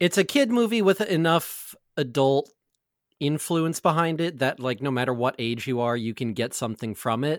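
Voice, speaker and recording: Lively in intonation, a man with an unremarkable speaking voice talks at a moderate pace and a fairly high pitch. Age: 20s. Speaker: podcaster, tabletop gaming show cast member. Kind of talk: casual chat.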